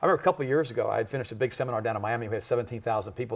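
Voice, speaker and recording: Over a quiet background, a man talks very fast in a somewhat breathy voice of medium pitch. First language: German. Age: 50s. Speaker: health and nutrition expert. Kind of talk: talk show interview. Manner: animated.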